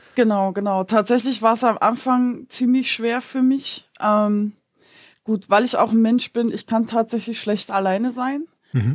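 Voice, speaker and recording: A woman with an ordinary speaking voice, fairly high pitch and fairly even intonation, at a fairly slow pace. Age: 30s. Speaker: partner of a person with depression. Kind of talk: casual interview.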